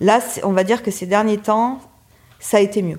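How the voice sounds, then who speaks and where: Fairly even intonation marks this woman's speech over noticeable background noise. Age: 40s. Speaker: chef. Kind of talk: interview. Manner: halting.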